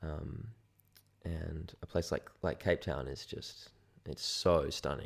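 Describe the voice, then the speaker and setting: A man speaks at a very slow pace with an Australian accent. Long, frequent pauses break up his speech. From Sydney, Australia. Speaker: photographer. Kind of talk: casual chat.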